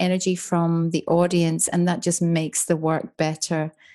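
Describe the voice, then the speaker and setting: In a very clean recording with a silent background, a woman with an Irish accent speaks slowly-ish in a fairly low pitch with a dark, mellow tone. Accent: soft Irish. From Ireland, Dublin. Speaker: author and business mentor. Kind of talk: interview conversation.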